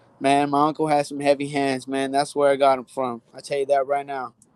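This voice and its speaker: Fairly high-pitched male voice with an American accent, at a fairly quick pace. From US West, Central Valley California. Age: 20s. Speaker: amateur MMA fighter. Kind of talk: interview. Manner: casual, confident.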